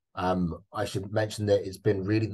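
This man's voice is somewhat breathy. He speaks at a moderate pace. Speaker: neuropsychologist and researcher. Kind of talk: lecture-style presentation. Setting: video call. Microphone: video call.

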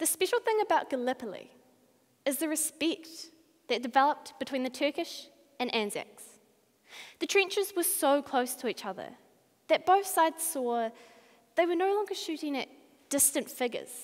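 The speech moves at a moderate pace with long, frequent pauses. The background is quiet. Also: woman, high pitch for a woman. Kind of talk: memorized speech performance. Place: hall. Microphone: headset.

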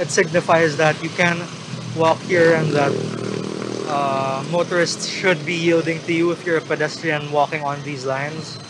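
A man speaks in a monotone, flat intonation at a moderate pace, with long, frequent pauses. The sound is dry with no echo, and there is noticeable background noise. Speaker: interviewee. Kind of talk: interview answer. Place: street.

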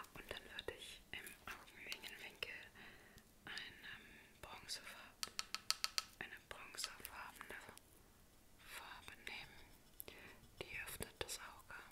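Loud background noise surrounds a woman speaking at a very slow pace. She leaves long, frequent pauses. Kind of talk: soft personal-attention role play. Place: home room. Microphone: phone near.

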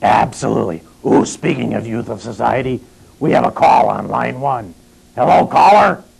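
A raspy, put-on character voice from a man at a moderate pace. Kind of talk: comedic low-budget horror host banter.

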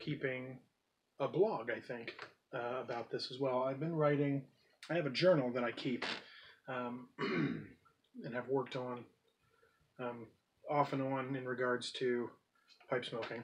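Over light background noise, a man speaks fairly slowly with fairly even intonation and long, frequent pauses. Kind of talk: casual vlog chat. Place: home room.

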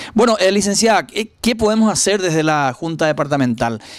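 A man talks at a fairly quick pace with lively intonation, over a quiet background and in a dry sound with no echo. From Paraguay. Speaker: local news interviewer; interviewer, program host. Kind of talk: interview. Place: home room. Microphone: handheld.

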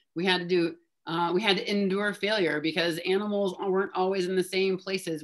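Against a quiet background, a woman with a fairly low voice speaks at a moderate pace. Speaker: neuroscience professor. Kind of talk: discussion leader on video call. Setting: video call. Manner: animated, frequent 'right?' tags. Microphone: video call.

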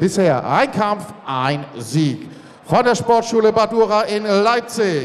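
Lively intonation marks this man's speech, delivered at a very slow pace. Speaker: ring announcer. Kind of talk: ring announcement. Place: hall.

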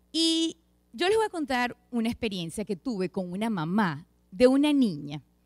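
The speech moves at a moderate pace with very wide pitch swings. The background is quiet. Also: woman. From Venezuela. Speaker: lay preacher, pediatric dentist; lay preacher. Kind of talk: sermon. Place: church. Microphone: handheld.

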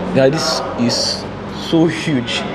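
This man talks with noticeable background noise behind him. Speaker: vlogger giving a tour. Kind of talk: casual vlog chat. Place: station. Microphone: phone near.

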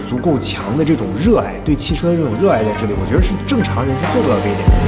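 A man talks while clear music is heard behind him. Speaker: documentary interviewer. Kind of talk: interview questions and commentary. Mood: admiring, thoughtful. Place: garage.

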